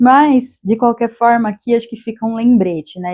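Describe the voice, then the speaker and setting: A woman speaks with a dark, mellow tone and fairly even intonation. The sound is dry and close, with no echo. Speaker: tarot reader. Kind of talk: tarot reading monologue.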